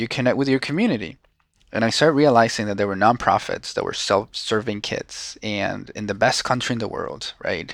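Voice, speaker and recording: A man speaks at a fairly quick pace in a Venezuelan accent, with ordinary pitch variation. The recording is very clean and the background silent. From Venezuela, Caracas. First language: Spanish. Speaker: social entrepreneur. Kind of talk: casual interview.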